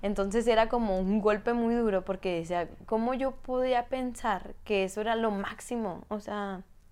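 A woman speaks fairly slowly in a fairly high pitch, her intonation fairly even. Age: 20s. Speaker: life coach and kinesiologist. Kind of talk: personal testimony in interview.

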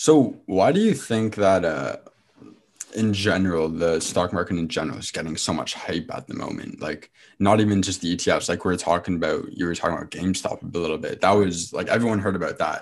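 Speaking with a Canadian accent, a man has a very deep, low pitch and ordinary pitch variation. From Ontario, Canada (Oakville). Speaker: podcast host. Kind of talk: casual interview chat.

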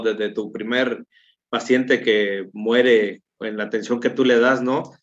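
A man talks at a medium pitch. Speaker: Red Cross relief coordinator and firefighter. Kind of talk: interview. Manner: halting, with repeated filler words.

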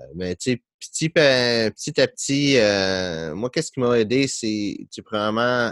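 A medium-pitched man's voice with lively intonation and a Quebec accent, dry and close with no echo, in a very clean recording with a silent background. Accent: Québécois French. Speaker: podcast host, business coach. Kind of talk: casual interview chat.

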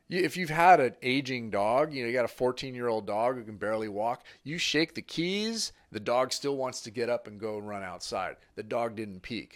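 With a Californian accent, a man of medium pitch speaks with lively intonation, big swings in loudness, and hardly any pauses. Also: moderate pace, very clean recording, silent background. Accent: General American (California). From Northern California, Sacramento. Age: 50s. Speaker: strength coach. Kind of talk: casual chat.

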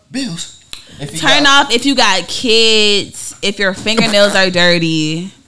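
The speech moves at a very slow pace with lively intonation, over noticeable background noise. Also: woman, medium pitch for a woman. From Savannah, Georgia, US South. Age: 20s. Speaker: rapper. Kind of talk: casual chat.

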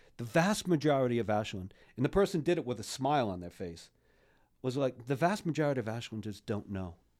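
Speaking very fast with an American accent, a man at medium pitch makes very wide pitch swings. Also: very clean recording, silent background. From US Northeast (Rhode Island). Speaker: podcast co-host, local civic activist. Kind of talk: casual chat. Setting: studio.

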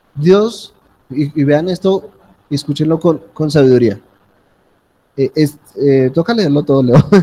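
Speaking at a very slow pace with long, frequent pauses, a man's somewhat breathy voice carries a dark, mellow tone and ordinary pitch variation. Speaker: preacher. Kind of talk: sermon. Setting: church with congregation. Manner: animated, interactive, calling for amens; conversational, informal, with humor.

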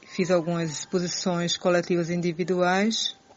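Her voice is medium in pitch, an unremarkable speaking voice. The woman speaks at a fairly slow pace. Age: 50s. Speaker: poet and retired art teacher. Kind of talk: self-introduction before a poetry reading.

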